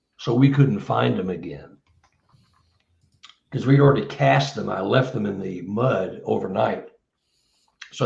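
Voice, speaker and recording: A man with vocal fry speaks at a moderate pace with long, frequent pauses, very wide pitch swings, and big swings in loudness, amid audible room echo. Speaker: Bigfoot researcher and author. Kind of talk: casual interview chat.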